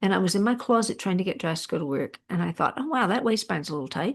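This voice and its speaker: A woman speaks with an American accent and lively intonation. The background is quiet. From Texas. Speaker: weight-loss coach. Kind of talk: podcast interview.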